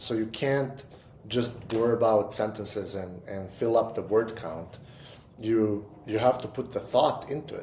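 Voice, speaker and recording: A man with a non-native accent speaks at a fairly slow pace and medium pitch. His voice is somewhat breathy with a dark, mellow tone and ordinary pitch variation. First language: not English. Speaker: entrepreneur and writer. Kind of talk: casual chat. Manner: halting, with repetitions.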